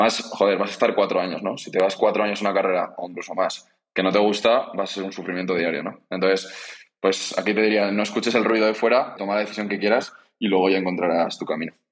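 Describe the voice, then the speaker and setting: The speech runs at a very fast pace in a monotone, flat intonation. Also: man, fairly low pitch for a man. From Spain, Zaragoza. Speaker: startup co-founder. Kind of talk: interview. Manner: halting, frequent repetitions.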